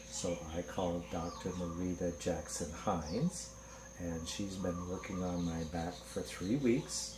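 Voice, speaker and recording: With audible room echo, a man with a very deep, low voice and vocal fry speaks at a fairly slow pace with lively intonation. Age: 60s. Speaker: patient. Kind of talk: testimony.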